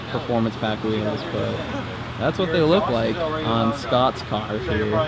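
Over loud background noise, a man talks at a very slow pace. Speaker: car vlogger filming. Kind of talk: casual vlog chat. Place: street. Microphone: phone near.

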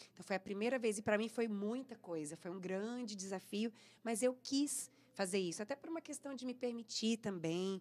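With an ordinary speaking voice, a woman talks at a moderate pace with a fairly high pitch and ordinary pitch variation. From interior of São Paulo state, Brazil. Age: 40s. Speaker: singer; guest. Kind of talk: radio interview. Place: studio. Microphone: studio mic.

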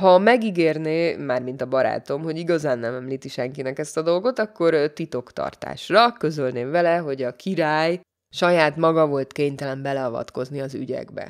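Very deep and low in pitch, a woman speaks at a moderate pace with hardly any pauses and ordinary pitch variation. The recording is very clean with a silent background. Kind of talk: audiobook reading of a humorous literary text, told in first person. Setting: studio.

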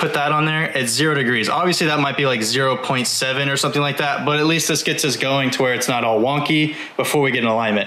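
A man talks at a very fast pace with fairly even intonation, and audible room echo surrounds him. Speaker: car channel host. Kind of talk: tutorial. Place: garage. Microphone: phone near.

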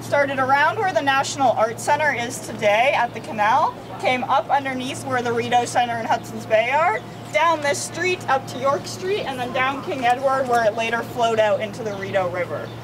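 A woman's high-pitched voice at a fairly quick pace, over noticeable background noise. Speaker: walking tour guide. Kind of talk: guided tour talk to a group. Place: street. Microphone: camera far.

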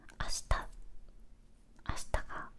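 A soft-spoken woman is whispering. Light background noise sits behind her. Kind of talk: casual vlog chat. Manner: close soft whispered chatting. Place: home room.

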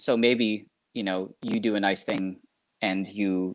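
Against a quiet background, a man talks in a fairly low pitch with fairly even intonation. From southeastern Wisconsin, US Midwest. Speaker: cable company marketing specialist; guest. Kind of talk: casual interview. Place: home room. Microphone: video call.

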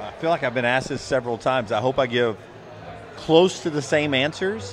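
Light background noise behind a man's moderately paced speech, with ordinary pitch variation. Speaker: podcast co-host. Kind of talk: casual podcast chat. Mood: nostalgic, animated storytelling. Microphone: handheld.

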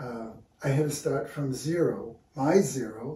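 Amid audible room echo, a man with an American accent speaks at a fairly high pitch in a somewhat breathy voice with a dark, mellow tone. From New York City (Brooklyn); New York City. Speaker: visual artist and art teacher; interviewee. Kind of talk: casual interview. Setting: artist's studio. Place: workshop. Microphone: camera far.

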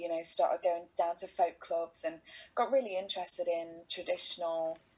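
In an East Midlands accent, a woman with a fairly low pitch speaks at a moderate pace. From England, Derby (East Midlands). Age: 30s. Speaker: folk singer-songwriter. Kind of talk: casual chat. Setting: video call. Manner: animated. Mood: warm, animated storytelling. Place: home room. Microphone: video call.

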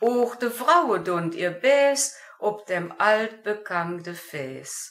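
Her pitch swings very widely as this woman talks. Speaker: amateur dialect poet. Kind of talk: poetry reading.

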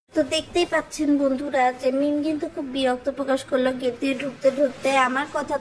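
Over noticeable background noise, a woman talks in a high pitch with monotone, flat intonation. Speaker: gossip commentary vlogger. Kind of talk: commentary monologue.

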